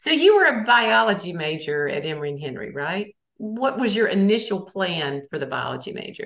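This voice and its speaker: Her medium-pitched voice runs at a fairly quick pace with hardly any pauses, very wide pitch swings and big swings in loudness. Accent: Southern US. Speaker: college radio host. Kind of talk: interview. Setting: radio studio.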